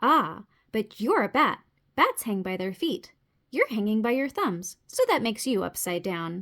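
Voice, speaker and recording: Putting on a character voice, a woman speaks at a fairly high pitch in a very clean recording with a silent background. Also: moderate pace. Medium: read story.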